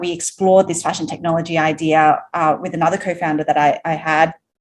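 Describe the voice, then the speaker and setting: A woman with an Australian accent. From Australia, Sydney. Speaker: entrepreneur, company founder. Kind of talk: podcast interview.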